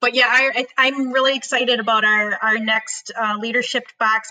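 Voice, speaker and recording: A woman with a Wisconsin accent has a bright, sharp tone and a fairly high pitch. She keeps a moderate pace and fairly even intonation. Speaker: podcast host. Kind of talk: casual chat.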